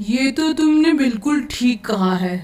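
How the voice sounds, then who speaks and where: A woman puts on a cartoonish character voice, pitched high and delivered at a moderate pace. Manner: chatty, boastful.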